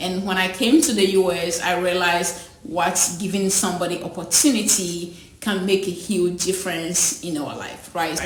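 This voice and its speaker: Fairly slow speech from a woman, set in audible room echo and noticeable background noise. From Ghana, rural village. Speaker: school founder. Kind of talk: personal testimony interview. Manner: halting, repeats words.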